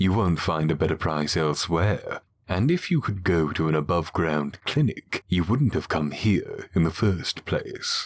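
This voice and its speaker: Using a put-on character voice, a man speaks at a very deep, low pitch with lively intonation, very even loudness and hardly any pauses. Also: moderate pace. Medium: read story. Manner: blunt, businesslike.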